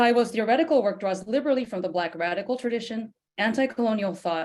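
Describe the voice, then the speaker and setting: Speaking at a very fast pace, a woman has a fairly high pitch. Her pitch variation is ordinary. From Japan. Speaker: professor. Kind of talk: academic introduction.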